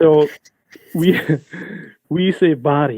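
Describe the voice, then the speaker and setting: A man is speaking. He has a Scottish accent. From east coast of Scotland. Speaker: graphic novelist, keynote speaker. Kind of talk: webinar talk.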